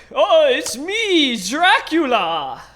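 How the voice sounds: A put-on character voice pitched high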